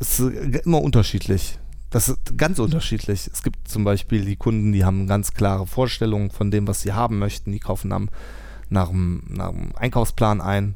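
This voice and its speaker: There's audible room echo around a man whose fairly low voice has a dark, mellow tone and ordinary pitch variation. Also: moderate pace. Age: 30s. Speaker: farmer. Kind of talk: casual interview. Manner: hesitant, many fillers.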